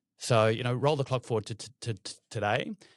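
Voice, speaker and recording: On a very clean recording with a silent background and a dry, close sound with no echo, a man with an Australian accent speaks at a fairly quick pace with fairly even intonation. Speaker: private equity investor. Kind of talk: interview.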